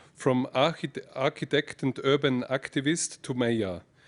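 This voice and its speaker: Speaking fairly slowly, a man uses a medium-pitched voice. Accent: Austrian. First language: German. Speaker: mayor. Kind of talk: prepared speech read aloud. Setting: lecture hall with audience. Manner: halting, with restarts.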